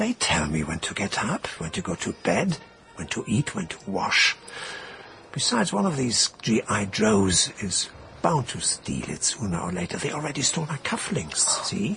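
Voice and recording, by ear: Over faint background music, a man does a put-on character voice at a fairly low pitch, bright and sharp with vocal fry. His pitch swings very widely at a moderate pace.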